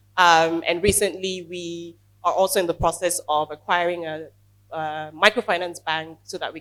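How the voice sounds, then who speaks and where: Her voice fairly low in pitch, a woman speaks with monotone, flat intonation. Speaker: startup co-founder. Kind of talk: panel discussion.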